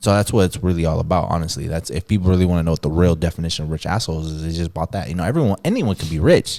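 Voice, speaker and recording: A man's very deep, low voice with a dark, mellow tone, racing along at a very fast pace with hardly any pauses. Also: ordinary pitch variation. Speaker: DJ and music business owner. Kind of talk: casual chat.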